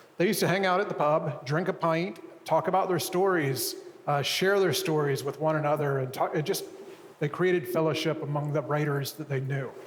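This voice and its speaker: Delivery is at a fairly quick pace with fairly even intonation. Noticeable background noise and audible room echo surround it. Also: man, fairly high pitch for a man. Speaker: publisher and writer, co-founder of an arts community. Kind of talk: public lecture conversation. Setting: stage with audience. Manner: soft-spoken.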